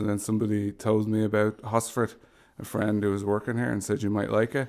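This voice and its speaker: A man speaks with a Dublin accent at a fairly low pitch. His intonation stays flat and monotone. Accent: Dublin Irish. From Ireland, Dublin. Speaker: homelessness services manager. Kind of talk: podcast interview.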